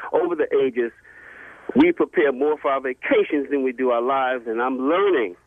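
Using an ordinary speaking voice, a man talks at a fairly quick pace with fairly high pitch and ordinary pitch variation. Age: 50s. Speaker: caller. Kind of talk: call-in chat.

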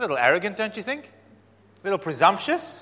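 Raising and projecting his voice, a man makes very wide pitch swings. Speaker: pastor. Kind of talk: sermon. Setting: church.

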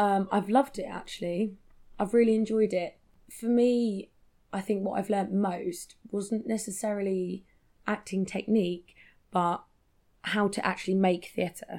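In a British accent, a woman speaks with a dark, mellow tone and fairly even intonation. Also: medium pitch for a woman. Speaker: theatre performer and writer. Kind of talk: casual interview chat.

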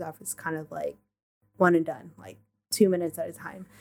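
A soft-spoken woman talks at a fairly quick pace and a fairly low pitch. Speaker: podcast guest. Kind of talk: casual chat.

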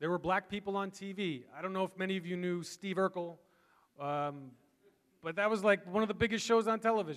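Fairly quick delivery from a man with a high pitch and ordinary pitch variation. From Massachusetts, south shore near Boston. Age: 30s. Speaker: pastor. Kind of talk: sermon. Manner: animated.

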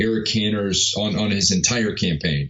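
A man is speaking while noticeable background noise fills the recording. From New York. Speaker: filmmaker and media entrepreneur. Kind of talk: interview conversation. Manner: halting, many fillers.

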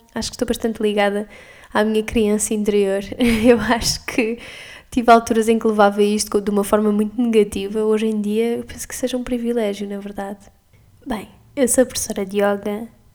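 A voice with a European Portuguese accent speaks fairly quickly in a monotone, flat way, with big swings in loudness. There is noticeable background noise. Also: woman, fairly high pitch for a woman. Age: 20s. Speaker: yoga teacher and podcaster. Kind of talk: casual monologue.

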